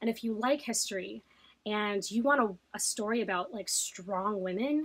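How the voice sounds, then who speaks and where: At a moderate pace and medium pitch, a woman speaks with ordinary pitch variation. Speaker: book vlogger. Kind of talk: casual monologue to camera. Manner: halting, many fillers.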